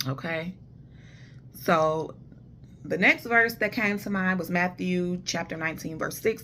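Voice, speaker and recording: A woman speaks loudly at a medium pitch, with ordinary pitch variation and a bright, sharp tone. Her pace is fairly slow, and the recording is very clean with a silent background. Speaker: vlogger giving relationship advice. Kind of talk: casual monologue.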